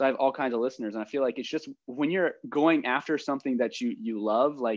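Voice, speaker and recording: With an American accent, a man talks at medium pitch with ordinary pitch variation in a plain, everyday voice. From rural Ohio. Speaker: podcast host. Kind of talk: casual chat.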